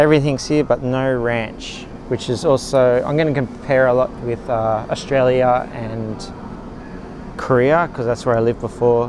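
Dry, with no echo, a man's voice holds a moderate pace and fairly even intonation over noticeable background noise. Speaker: expat vlogger. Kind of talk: casual vlog chat. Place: shop. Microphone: phone near.

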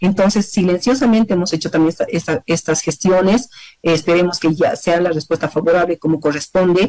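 A woman talks at a fairly quick pace in a fairly low pitch with a dark, mellow tone, ordinary pitch variation and very even loudness. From Bolivia. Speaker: deputy foreign minister. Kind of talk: interview. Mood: calm, serious. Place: office. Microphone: video call.

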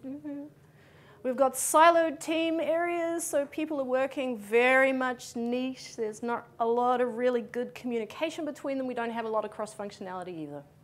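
In a New Zealand accent, a woman speaks with lively intonation at a high pitch. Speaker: conference speaker. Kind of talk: conference talk. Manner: fast. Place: hall.

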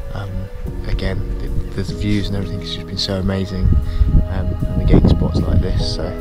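Over clear background music, a man talks at a fairly quick pace in a dry recording with no echo. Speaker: travel vlogger. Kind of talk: casual vlog chat. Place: waterside. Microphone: phone near.

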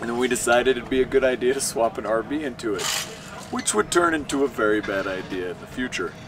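A man of medium pitch at a very fast pace, with ordinary pitch variation, against noticeable background noise. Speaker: drifting driver and stunt driver. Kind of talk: casual storytelling monologue. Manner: animated, joking.

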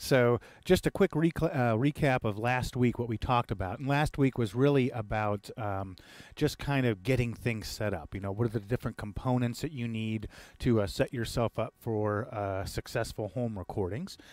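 Against a quiet background, the voice sounds dry with no echo and shows ordinary pitch variation. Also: man, moderate pace. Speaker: home recording instructor. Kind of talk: tutorial. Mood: relaxed, light humor. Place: studio. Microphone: headset.

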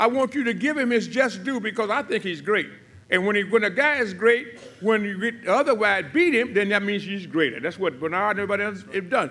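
Raising and projecting his voice, a man talks at a fairly quick pace with lively intonation and a bright, sharp tone. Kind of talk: press conference speech. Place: hall. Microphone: podium.

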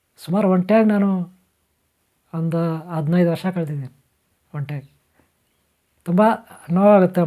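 A man speaks at a high pitch with ordinary pitch variation. His tone is dark and mellow. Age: 50s. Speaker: spiritual teacher. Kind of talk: spiritual talk. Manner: halting.

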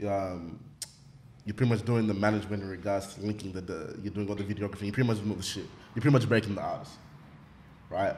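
A man's fairly low, fairly evenly intoned voice at a very fast pace, with long, frequent pauses and light background noise. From Australia. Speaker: podcast host. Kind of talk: casual chat. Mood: casual, engaged. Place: studio. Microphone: studio mic.

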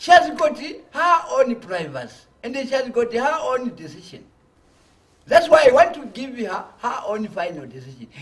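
Big swings in loudness and very wide pitch swings at a moderate pace. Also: man, extremely high pitch for a man. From Zambia. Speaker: opposition party leader; guest. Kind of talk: political interview. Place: studio. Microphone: lapel.

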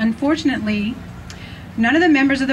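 With light background noise behind her, a woman speaks with ordinary pitch variation. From US Pennsylvania. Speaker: rally speaker. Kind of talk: rally speech, scripted-sounding recap of trustee decisions. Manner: formal, emphatic, deliberate, list-like, pointed. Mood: critical, earnest. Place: open country.

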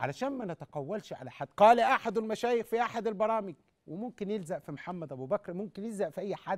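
Against a quiet background, a man talks in an animated tone at a high pitch and a fairly quick pace, with lively intonation, big swings in loudness and hardly any pauses. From Egypt. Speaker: sheikh answering callers on TV; TV caller. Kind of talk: live call-in religious Q&A. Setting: TV studio, live. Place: studio. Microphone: lapel.

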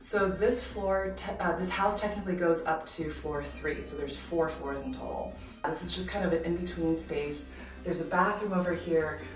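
A woman speaks at a moderate pace, with audible room echo. Clear music plays in the background. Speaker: vlogger giving a house tour. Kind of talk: casual vlog chat. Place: home room.

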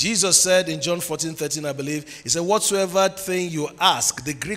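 An animated man in a Nigerian accent. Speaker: preacher. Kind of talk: sermon. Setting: church with congregation. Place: church. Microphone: handheld.

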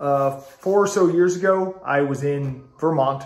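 Noticeable background noise and audible room echo surround a man whose pitch varies in an ordinary way. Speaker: food reviewer. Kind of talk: casual product review.

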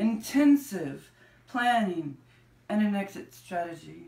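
A woman speaks at a fairly slow pace in a medium pitch, somewhat breathy, with very wide pitch swings. Room echo is audible. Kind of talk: spoken word poetry reading. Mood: intense, anxious at times. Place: home room. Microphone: camera far.

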